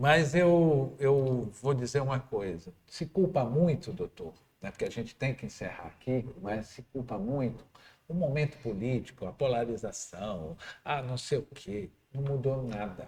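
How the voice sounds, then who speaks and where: Somewhat breathy, a man speaks at a fairly slow pace with a medium pitch and lively intonation. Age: 60s. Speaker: radio host. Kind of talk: interview.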